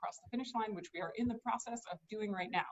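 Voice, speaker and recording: A woman talks at a very fast pace. Her intonation stays fairly even. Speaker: state supreme court justice. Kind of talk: campaign speech.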